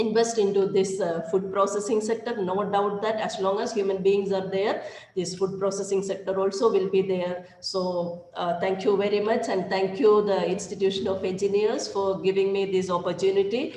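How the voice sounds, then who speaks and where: A woman's medium-pitched voice runs on with hardly any pauses in a monotone, flat intonation, amid noticeable background noise and audible room echo. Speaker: professor. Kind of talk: technical presentation. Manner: fast; hesitant, many fillers.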